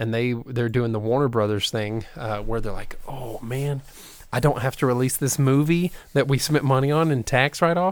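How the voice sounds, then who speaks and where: Over a silent background in a very clean recording, a man uses a normal speaking voice at medium pitch with ordinary pitch variation. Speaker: podcast co-host. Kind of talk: casual chat.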